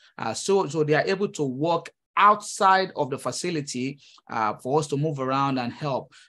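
A man speaks with a Nigerian accent in a bright, sharp tone at a fairly high pitch. His pitch varies in an ordinary way, and the background is quiet. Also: moderate pace. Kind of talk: interview conversation. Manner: hesitant, with many fillers and repeats.

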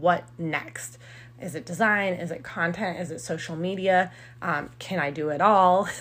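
The speaker has a plain, everyday voice. The pitch varies in an ordinary way. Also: woman. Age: 30s. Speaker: podcast host and blogger. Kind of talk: solo podcast monologue. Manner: casual, with frequent fillers.

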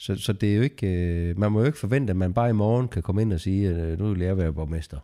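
On a very clean recording with a silent background, a man with a very deep, low pitch and a dark, mellow tone speaks at a very fast pace with ordinary pitch variation. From Denmark, near Lunderskov (southern Jutland). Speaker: construction company co-owner. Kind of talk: podcast interview. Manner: hesitant, many filler sounds.

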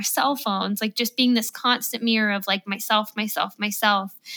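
A woman's fairly high, bright, sharp voice at a fairly quick pace with fairly even intonation. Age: 30s. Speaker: podcast host. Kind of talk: casual chat.

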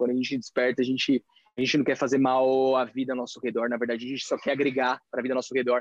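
Very fast talk from a man of medium pitch, dry and close with no echo. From Brazil. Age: 30s. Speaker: entrepreneur and retreat coach. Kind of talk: casual interview. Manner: animated.

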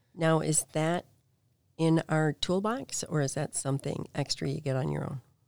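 In a dry, close sound with no echo, a woman with an American accent and a very deep, low pitch talks at a moderate pace with ordinary pitch variation. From northern Illinois, near Chicago. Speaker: real estate agent. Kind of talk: casual chat. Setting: studio.

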